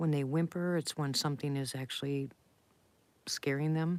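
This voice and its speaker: In a very clean recording with a silent background, a woman speaks at a moderate pace with a very deep, low pitch and a monotone, flat intonation. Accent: American. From Ohio. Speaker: livestreamer. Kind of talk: casual chat.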